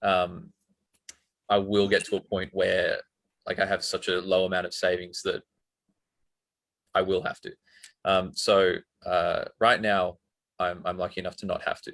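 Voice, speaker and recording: A man with an Australian accent speaks at a moderate pace. He leaves long, frequent pauses. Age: 20s. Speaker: university student. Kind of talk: testimony. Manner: halting.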